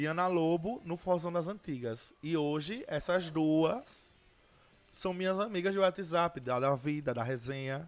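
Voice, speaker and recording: A man's high-pitched voice, ordinary pitch variation, fairly slow delivery. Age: 20s. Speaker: social media personality. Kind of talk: interview. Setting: studio.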